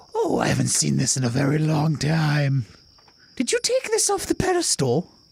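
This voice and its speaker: Delivered at a moderate pace, this is a put-on character voice. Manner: calm and menacing.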